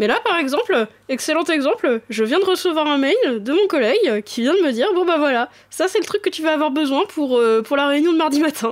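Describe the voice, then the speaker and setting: A woman speaks fairly quickly in a high voice, her pitch swinging very widely while her loudness stays very even. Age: 20s. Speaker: podcast co-host. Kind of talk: casual chat.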